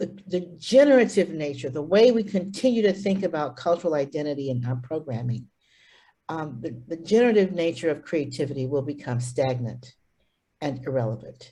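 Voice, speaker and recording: A woman speaks fairly quickly in a very deep, low pitch, somewhat breathy. Her tone is dark and mellow, with very wide pitch swings. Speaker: arts presenter. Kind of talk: presentation. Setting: video call.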